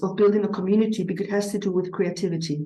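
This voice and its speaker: Speaking with a non-native accent, a woman uses a dark, mellow, somewhat breathy voice at a medium pitch. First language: not English. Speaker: eurythmy teacher. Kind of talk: conference presentation. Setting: conference with audience. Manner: hesitant, with frequent fillers.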